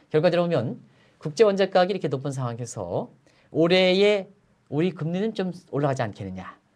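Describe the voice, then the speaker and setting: Against a quiet background, a man speaks at a very fast pace with very wide pitch swings. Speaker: economic analyst. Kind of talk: interview.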